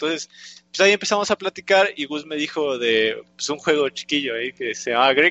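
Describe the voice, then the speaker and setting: A man with an unremarkable speaking voice talks at a moderate pace in a fairly high pitch with ordinary pitch variation. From Mexico. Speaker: video game developer. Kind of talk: interview. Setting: live stream.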